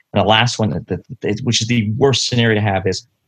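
A man's fairly low-pitched, unremarkable speaking voice against a quiet background. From London, Ontario, Canada. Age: 40s. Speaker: paramedic. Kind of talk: interview.

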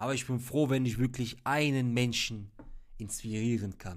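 On a very clean recording with a silent background, a man talks at a fairly slow pace with fairly even intonation. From Ruhr area, Germany (Hagen). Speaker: podcast host. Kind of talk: solo monologue.

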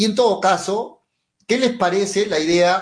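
This man talks at a moderate pace. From Peru, Mollendo. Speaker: sports radio host. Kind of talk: sports talk radio.

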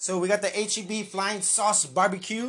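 Speaking at a moderate pace with an American accent, a man's voice sits high in pitch. Background noise is noticeable throughout. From San Antonio, Texas. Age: 30s. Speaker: podcast host. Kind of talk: casual chat. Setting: livestream on Facebook and YouTube.

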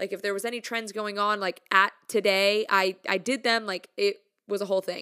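An ordinary speaking voice from a woman at medium pitch and moderate pace, with a dry, close sound and no echo. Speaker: music content creator. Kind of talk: casual monologue. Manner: casual, upbeat, chatty.

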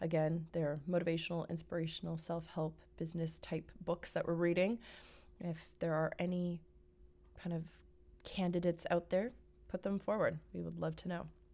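The tone is upbeat and the pace moderate. Long, frequent pauses break up the speech. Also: woman. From Vancouver, Canada. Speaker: podcast host. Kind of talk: solo podcast monologue, casual. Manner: conversational, upbeat.

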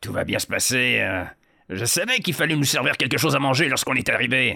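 At a fairly quick pace, the speaker performs a put-on character voice in a very clean recording with a silent background. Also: man, medium pitch for a man.

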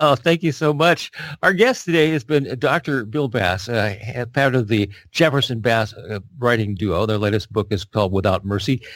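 Heard on a very clean recording with a silent background, a man with an unremarkable speaking voice talks at a moderate pace and medium pitch with lively intonation. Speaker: radio interviewer and book specialist. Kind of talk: interview.

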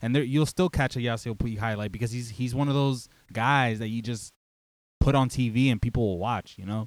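A man with an ordinary speaking voice and an American accent talks at a fairly quick pace in a medium pitch with fairly even intonation, on a very clean recording with a silent background. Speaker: baseball podcast co-host. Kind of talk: casual chat.

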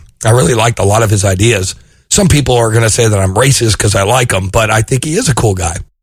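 Speaking at a very fast pace, a man with a medium pitch and a somewhat breathy voice keeps his loudness very even and his pitch variation ordinary. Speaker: podcast host. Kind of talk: casual interview.

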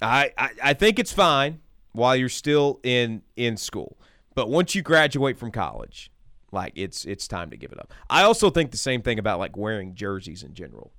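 Over a very clean recording with a silent background, a man talks in a relaxed tone with vocal fry, very wide pitch swings and big swings in loudness. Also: medium pitch for a man, moderate pace. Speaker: radio host. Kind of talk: casual sports talk radio chat. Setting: radio studio. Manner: conversational, relaxed, filler words.

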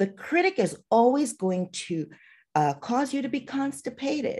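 Her pitch swings very widely as this woman speaks at a moderate pace with vocal fry. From Trinidad and Tobago. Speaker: physician and artist. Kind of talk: casual interview.

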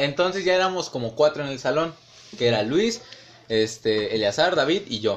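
A man talks with a Mexican accent and lively intonation. His pace is fairly slow. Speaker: student. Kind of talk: casual chat.

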